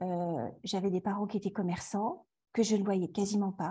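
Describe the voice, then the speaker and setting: Against a quiet background, a woman with a dark, mellow tone and a somewhat breathy voice talks at a fairly slow pace. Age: 40s. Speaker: yoga teacher. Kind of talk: interview. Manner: halting.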